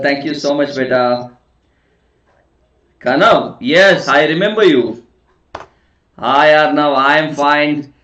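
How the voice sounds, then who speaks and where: A man with a fairly high voice speaks very slowly, with ordinary pitch variation. He leaves long, frequent pauses. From South India. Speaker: online teacher. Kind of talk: live online class. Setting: live online session. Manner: soft-spoken.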